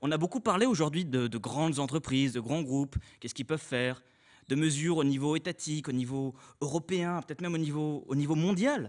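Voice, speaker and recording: A man's fairly quick speech with ordinary pitch variation. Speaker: student speaker. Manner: casual.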